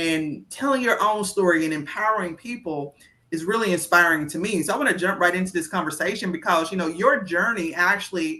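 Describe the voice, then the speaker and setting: Here a woman speaks with an American accent at a moderate pace. Her medium-pitched voice has a bright, sharp tone and ordinary pitch variation. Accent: heavy small-town country. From rural US, small town. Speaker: interview host, teacher. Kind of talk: interview. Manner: enthusiastic.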